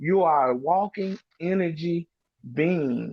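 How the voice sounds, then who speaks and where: A man with a Memphis accent talks at a fairly high pitch. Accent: Southern US (Memphis). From Mississippi and Memphis, Tennessee. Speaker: panel guest on a talk stream. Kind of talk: casual group discussion. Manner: animated, repeats words.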